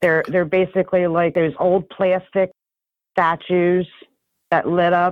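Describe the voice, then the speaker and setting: With a New Jersey accent, a woman talks at a fairly slow pace and fairly low pitch, her intonation monotone and flat, loudness very even, and pauses long and frequent. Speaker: urbex photographer. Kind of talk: interview answer.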